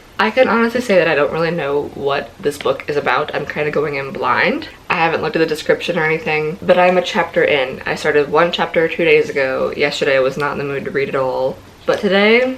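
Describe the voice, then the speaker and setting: A woman with a fairly low pitch speaks at a fairly quick pace. Her intonation is lively, and there is noticeable background noise. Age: 20s. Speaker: book vlogger. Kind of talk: casual talk to camera.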